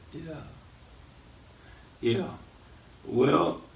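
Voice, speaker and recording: A man with a Southern US accent at a very slow pace, in a room with audible echo. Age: 80s+. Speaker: radio host, preacher. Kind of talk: casual interview.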